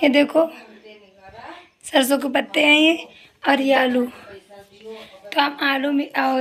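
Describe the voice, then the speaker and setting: Amid noticeable background noise, a woman speaks at a high pitch with fairly even intonation. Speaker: vlogger. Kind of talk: casual vlog chat.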